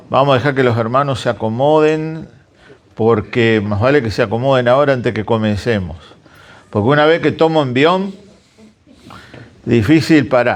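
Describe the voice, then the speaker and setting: With audible room echo, a man speaks in a lively intonation. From Argentina, Santa Fe (interior). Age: 60s. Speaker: guest preacher. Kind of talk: sermon.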